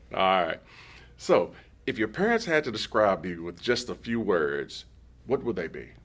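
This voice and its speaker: Delivered at a moderate pace in an American accent, the voice has vocal fry, very wide pitch swings and long, frequent pauses. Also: man, fairly low pitch for a man, very clean recording, silent background. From Texas. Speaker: school district superintendent. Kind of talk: interview.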